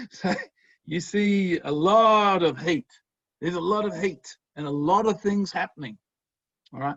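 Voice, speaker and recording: At a moderate pace, a high-pitched man with an Australian accent speaks with ordinary pitch variation and long, frequent pauses. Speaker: professor. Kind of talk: lecture. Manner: animated.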